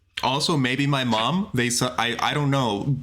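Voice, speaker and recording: There is audible room echo around a man speaking at a fairly slow pace. His pitch sits fairly high. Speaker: game show host. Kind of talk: casual chat.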